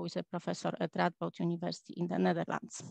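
The voice carries vocal fry and a monotone, flat intonation. The sound is dry with no echo against a quiet background. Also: woman. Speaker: astrophysicist. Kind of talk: lecture. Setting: video call. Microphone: video call.

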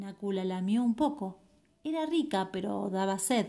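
A woman's somewhat breathy, medium-pitched voice in an Argentine accent, playful and animated in tone at a fairly slow pace. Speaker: storyteller. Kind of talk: fairy-tale narration, children's story read aloud. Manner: animated storytelling, warm and expressive; unhurried, with suspenseful pauses and playful questions to listeners.

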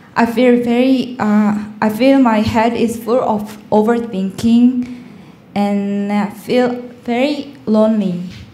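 A woman's fairly high, monotone, flat delivery at a very slow pace, with audible room echo. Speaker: student preparing for exam. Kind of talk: audience question. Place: hall.

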